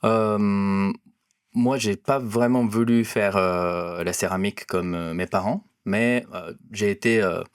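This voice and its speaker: A man speaks very slowly at a fairly low pitch with a Japanese accent and fairly even intonation. The sound is dry and close, with no echo. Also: very clean recording, silent background. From Japan, near Osaka. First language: Japanese (speaking French). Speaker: cinematographer. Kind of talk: interview. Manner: halting, many hesitations.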